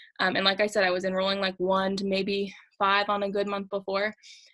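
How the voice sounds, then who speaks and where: This woman's voice has a bright, sharp tone. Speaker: direct sales team leader. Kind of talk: group training talk. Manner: fast.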